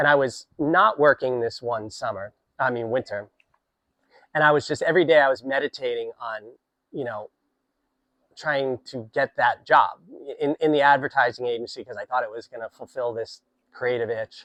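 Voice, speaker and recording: Pausing long and often, a man speaks at a moderate pace and medium pitch with a bright, sharp tone, ordinary pitch variation and big swings in loudness, the sound dry and close with no echo. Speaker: poet. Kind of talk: casual talk to camera.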